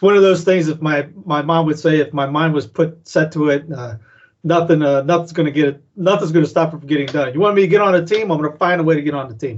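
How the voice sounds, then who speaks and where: This man's voice sits fairly high, and his pitch varies in an ordinary way. He talks very fast, with big swings in loudness. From South Carolina (Cowpens), northern-parent family. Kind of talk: casual interview. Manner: halting, many fillers.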